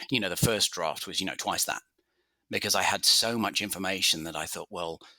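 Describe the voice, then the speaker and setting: Bright, sharp tone in an English accent, with ordinary pitch variation. The sound is dry and close with no echo, on a very clean recording over a silent background. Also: man. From England, London. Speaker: author and journalist. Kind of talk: interview.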